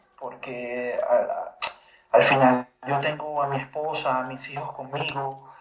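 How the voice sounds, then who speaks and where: A man speaks with a fairly high pitch. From Venezuela. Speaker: journalist and writer, migrant. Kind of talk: interview. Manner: halting, frequent repetitions.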